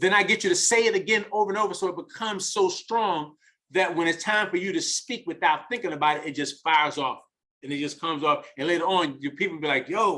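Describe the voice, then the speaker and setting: A high-pitched man with a New York accent, bright, sharp tone and very fast pace. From US Northeast, the Bronx, New York. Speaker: network marketing leader and mentor. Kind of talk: motivational talk on a group call. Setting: group conference call. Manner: repetitive, halting.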